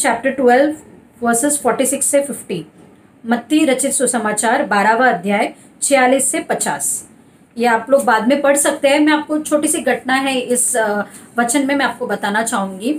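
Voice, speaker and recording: Her voice is high-pitched for a woman, with ordinary pitch variation. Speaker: church preacher. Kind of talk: church sermon. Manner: conversational, Hindi mixed with English words.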